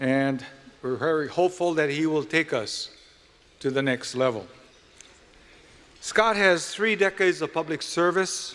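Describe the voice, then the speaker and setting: Speaking at a moderate pace with a Hawaiian accent, a man uses a fairly high pitch and ordinary pitch variation. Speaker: event emcee. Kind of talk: formal event speech.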